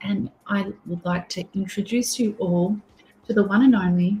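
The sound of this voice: A woman speaks at medium pitch and a moderate pace with ordinary pitch variation. Her voice has a husky, rough edge and a slightly mellow tone.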